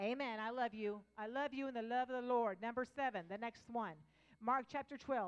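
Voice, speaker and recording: A woman speaks in an animated tone at a moderate pace. Her pitch varies in an ordinary way over a quiet background. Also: fairly high pitch for a woman. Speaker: pastor. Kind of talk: sermon. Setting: church with live congregation. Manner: loud. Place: church. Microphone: handheld.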